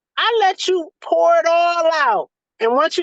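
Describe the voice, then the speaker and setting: With a Southern US accent, a woman speaks in an extremely high, animated voice, the sound dry and close with no echo. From US South. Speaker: doula. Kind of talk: casual chat. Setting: video call.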